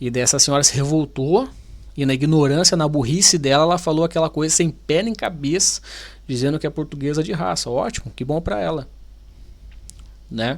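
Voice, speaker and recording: With a Brazilian accent, a man speaks at a moderate pace in an animated tone, his pitch fairly high and his speech broken by long, frequent pauses. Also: ordinary pitch variation. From Brazil, Paraná. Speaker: YouTuber, Brazilian immigrant. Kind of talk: video reaction commentary. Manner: animated, informal.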